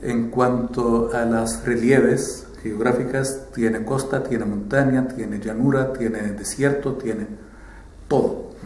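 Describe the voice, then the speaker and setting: The speech comes at a very slow pace with a monotone, flat intonation. There is audible room echo and noticeable background noise. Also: man, medium pitch for a man. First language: Arabic (speaking Spanish). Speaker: ambassador. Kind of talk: interview. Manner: hesitant with fillers.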